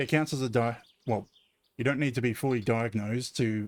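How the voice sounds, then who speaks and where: Delivered at a very fast pace, the speech carries an Australian accent and fairly even intonation. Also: man. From Australia, Southeast Queensland. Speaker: game streamer. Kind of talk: casual live-stream commentary.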